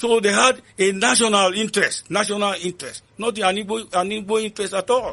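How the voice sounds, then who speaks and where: In a raised, projected voice with a bright, sharp tone, a man speaks at a high pitch and a fairly quick pace, with fairly even intonation, hardly any pauses and a quiet background. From Northern Nigeria. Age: 70s. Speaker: ex soldier, author. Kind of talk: interview answer.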